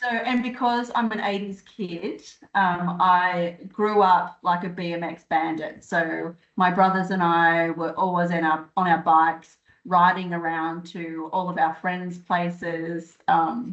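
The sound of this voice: A woman speaks slowly at a fairly low pitch, with little pitch movement.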